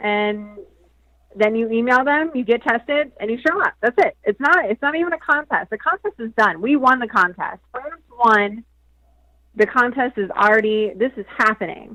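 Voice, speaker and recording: At a moderate pace, a woman with a fairly high voice and lively intonation speaks in a bright, sharp tone, the sound dry and close with no echo. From South Jersey. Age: 30s. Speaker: adult film performer. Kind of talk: casual interview.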